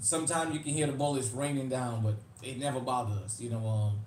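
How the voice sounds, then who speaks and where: This man's voice sits fairly high and moves at a fairly quick pace. Room echo is audible. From New Orleans, Louisiana (US South), Uptown. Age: 40s. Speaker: YouTube livestream host, firearms channel. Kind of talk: casual livestream chat. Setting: live stream.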